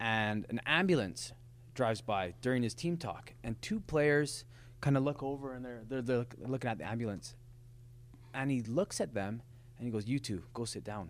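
On a very clean recording with a silent background, a man with a western Canadian accent talks at a moderate pace and medium pitch with ordinary pitch variation. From Lethbridge, Alberta, Canada. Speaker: professional soccer player. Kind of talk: casual chat. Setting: studio.

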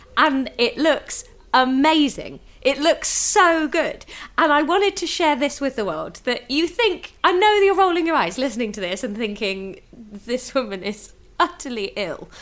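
A woman speaks in a British accent at a fairly slow pace. Her pitch is high, with very wide swings. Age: 30s. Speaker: stand-up comedian. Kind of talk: casual chat.

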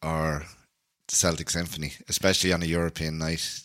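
A man with a Dublin accent speaks at a fairly slow pace in a very deep, low voice with a bright, sharp tone. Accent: Irish (Dublin). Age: 30s. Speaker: podcast host and folk musician. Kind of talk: casual chat.

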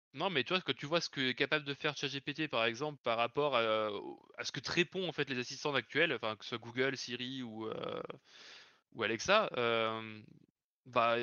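At a moderate pace, a man speaks in an ordinary speaking voice at medium pitch with ordinary pitch variation. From Lyon region, France. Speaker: software developer. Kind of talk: casual chat. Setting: live stream.

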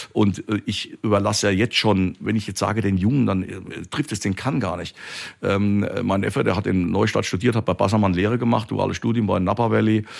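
In a very clean recording with a silent background, a man talks at a fairly low pitch with fairly even intonation. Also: fairly quick pace. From Palatinate, Germany. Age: 50s. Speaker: winemaker. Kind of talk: interview. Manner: talkative, expansive.

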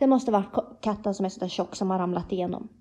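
Somewhat breathy and dark, mellow in tone, a woman talks at a fairly quick pace with a fairly high pitch and fairly even intonation. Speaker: podcast co-host. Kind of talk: casual chat.

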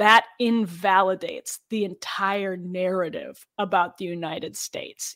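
Plain, everyday voice of a woman, medium in pitch with ordinary pitch variation, at a fairly slow pace, on a very clean recording with a silent background. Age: 30s. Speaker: political journalist and podcast co-host. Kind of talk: casual chat.

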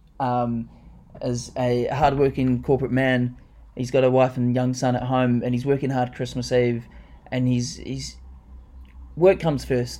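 Speaking at a fairly slow pace with long, frequent pauses, a man with a New Zealand accent has a dark, mellow tone, medium pitch and monotone, flat intonation. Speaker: podcast co-host. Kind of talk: casual chat. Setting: home lounge studio.

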